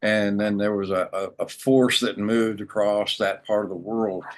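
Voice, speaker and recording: A man speaks in an ordinary speaking voice with an American accent, his pitch fairly low and his intonation fairly even. His pace is moderate, and the background is quiet. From United States. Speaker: spiritual teacher. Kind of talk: interview storytelling.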